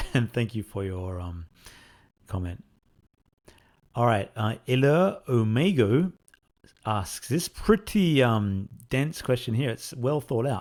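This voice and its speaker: With an Australian accent and a medium pitch, a man speaks at a very slow pace with lively intonation and long, frequent pauses, captured in a very clean recording with a silent background. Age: 40s. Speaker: indie game developer. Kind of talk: Q&A answering fan questions. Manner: casual, hesitant with fillers.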